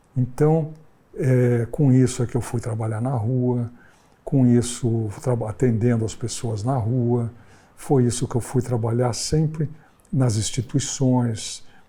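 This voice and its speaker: The voice moves at a very slow pace with fairly even intonation. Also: man, medium pitch for a man. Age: 70s. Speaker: psychoanalyst. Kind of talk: interview-style personal reflection.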